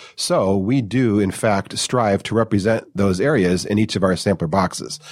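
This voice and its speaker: Here is a man with an American accent and an unremarkable speaking voice, fairly low in pitch. His pitch variation is ordinary, and the recording is very clean with a silent background. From US Midwest, Detroit suburbs. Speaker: wine company co-founder. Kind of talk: casual interview chat.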